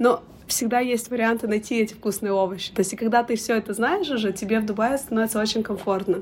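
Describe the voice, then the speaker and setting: A fairly high female voice with fairly even intonation over noticeable background noise. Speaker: education consultant, business owner. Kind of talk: interview.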